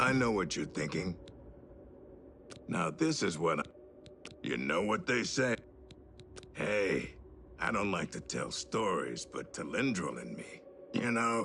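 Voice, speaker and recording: In a raspy put-on character voice, a man speaks at a fairly low pitch and a fairly slow pace with long, frequent pauses, over clear background noise. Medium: video game.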